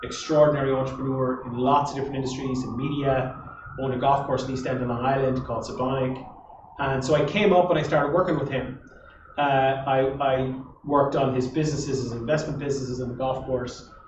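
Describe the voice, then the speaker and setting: A man with an Irish Midlands accent, medium pitch and monotone, flat intonation at a very fast pace, with audible room echo and noticeable background noise. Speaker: entrepreneur. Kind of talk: interview on stage.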